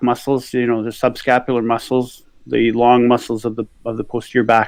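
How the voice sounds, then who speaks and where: A man's plain, everyday voice at a medium pitch and moderate pace. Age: 60s. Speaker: physician and yoga instructor. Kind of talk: casual chat.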